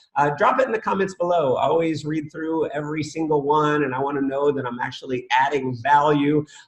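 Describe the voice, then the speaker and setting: Amid noticeable background noise, a man with a fairly high pitch talks at a fairly quick pace with hardly any pauses and ordinary pitch variation. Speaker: network marketing trainer. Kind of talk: webinar training. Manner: fast; animated.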